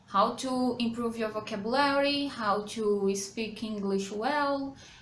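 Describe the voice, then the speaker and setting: A woman talks at a very slow pace and fairly high pitch, with audible room echo and noticeable background noise. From Brazil. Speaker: English teacher. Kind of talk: tutorial. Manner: halting.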